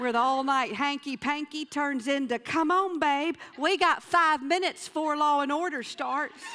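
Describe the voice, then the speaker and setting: In a raised, projected voice, a woman talks at a moderate pace with a high pitch, ordinary pitch variation and hardly any pauses. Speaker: motivational speaker and storyteller. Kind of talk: live stage comedy storytelling. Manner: humorous, expressive.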